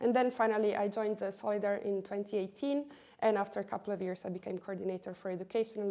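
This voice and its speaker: A woman with an Italian accent speaks at a very fast pace in a dark, mellow tone with fairly even intonation. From Italy. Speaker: education policy coordinator. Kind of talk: interview.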